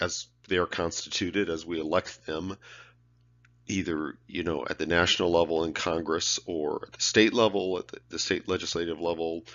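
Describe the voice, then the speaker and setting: At a moderate pace, a man with a very deep, low pitch talks with monotone, flat intonation. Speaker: professor. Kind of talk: lecture. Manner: halting, repeats words.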